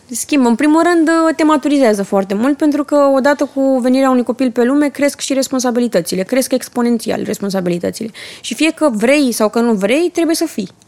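A woman's high-pitched voice with lively intonation, dry and close with no echo, over noticeable background noise. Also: fairly quick pace. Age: young. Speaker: entrepreneur and mother. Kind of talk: casual chat.

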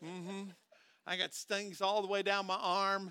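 A man with an American accent speaks at a fairly slow pace in a raised, projected voice, with a high pitch and a bright, sharp tone. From US Midwest, southern Minnesota. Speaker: pastor. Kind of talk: sermon.

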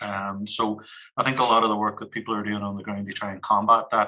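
A man's fairly low, bright and sharp voice in a Northern Irish accent, very fast and flat in a monotone. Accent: Derry Northern Irish. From Northern Ireland, Derry (Creggan). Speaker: community organisation manager. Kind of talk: podcast discussion.

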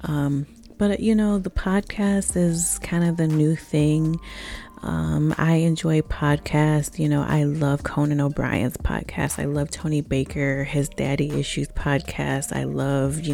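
The speaker uses an animated tone at a fairly slow pace, with noticeable background noise behind them. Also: woman. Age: 30s. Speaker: podcast host. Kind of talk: casual monologue.

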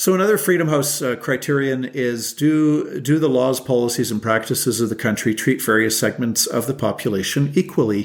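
With a Canadian accent, a man speaks at a medium pitch with ordinary pitch variation and hardly any pauses. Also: fairly quick pace. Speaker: lawyer and legal advocacy group president. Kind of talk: podcast interview. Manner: frequent hesitations with uh.

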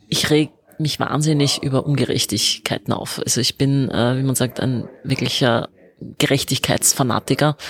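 A woman speaks in a very deep, low voice. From Vienna, Austria. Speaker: politician, member of parliament. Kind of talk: interview answers.

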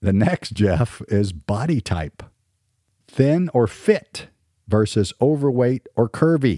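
At a very slow pace, the voice in an American accent has a dark, mellow tone with very wide pitch swings, in a dry, close sound with no echo. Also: man, medium pitch for a man. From US South. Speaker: podcast host. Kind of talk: casual chat.

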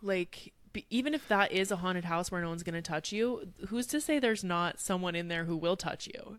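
This very clean recording with a silent background features a woman speaking at a medium pitch. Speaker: podcast host. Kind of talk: casual chat. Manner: animated, jokey.

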